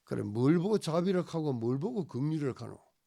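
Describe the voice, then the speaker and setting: A dark, mellow tone with very wide pitch swings, delivered at a moderate pace. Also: man. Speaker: pastor. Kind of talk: sermon. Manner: animated.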